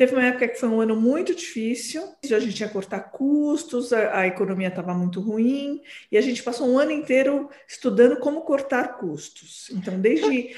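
A woman speaks with a high pitch and lively intonation at a moderate pace. She leaves hardly any pauses. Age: 40s. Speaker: psychoanalyst. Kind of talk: interview.

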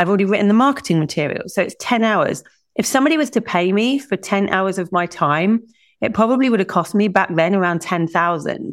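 A woman with a southern English accent speaks at a fairly quick pace in a medium pitch, her intonation lively, on a very clean recording with a silent background. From England. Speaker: business strategist. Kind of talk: interview.

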